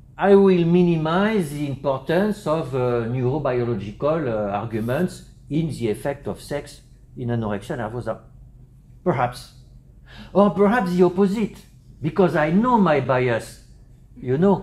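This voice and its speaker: Somewhat breathy, a man with a French accent speaks at a moderate pace, his pitch swinging very widely between long, frequent pauses. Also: fairly high pitch for a man. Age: 60s. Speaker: psychiatry professor. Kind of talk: conference lecture. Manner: halting, many fillers.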